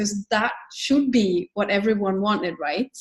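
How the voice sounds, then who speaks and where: A woman speaks in a Swedish accent at medium pitch and a fairly slow pace. Her pitch varies in an ordinary way, and the sound is dry and close with no echo. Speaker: book author and business founder. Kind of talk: interview conversation.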